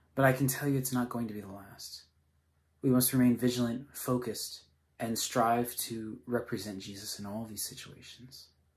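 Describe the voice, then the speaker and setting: Against a quiet background, a man talks at a moderate pace and medium pitch, his somewhat breathy voice fairly even in intonation but with big swings in loudness. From Singapore. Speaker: missionary; speaker. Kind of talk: sermon. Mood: earnest, calm. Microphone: phone near.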